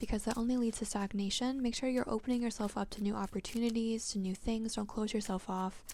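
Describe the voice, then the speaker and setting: A soft-spoken woman's dark, mellow tone, very fast with hardly any pauses and monotone, flat intonation. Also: fairly high pitch for a woman, very even loudness. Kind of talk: ASMR-style tarot reading and deck showcase.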